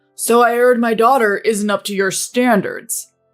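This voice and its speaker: With music in the background, a woman uses a fairly high put-on character voice at a moderate pace and with fairly even intonation. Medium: read story. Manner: calm, blunt.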